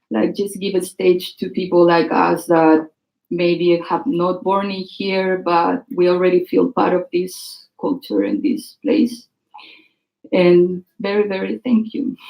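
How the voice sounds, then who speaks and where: With a strong Chilean accent, a woman of medium pitch speaks at a very slow pace with lively intonation. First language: Spanish. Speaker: writer and performer. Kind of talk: speech before a reading. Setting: stage with audience. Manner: halting.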